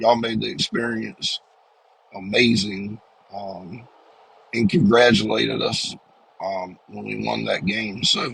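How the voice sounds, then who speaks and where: The speech comes at a fairly slow pace with long, frequent pauses and big swings in loudness. Noticeable background noise is present throughout. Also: man. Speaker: sports fan vlogger. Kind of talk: casual chat. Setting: in a car. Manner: many filler words, um and uh.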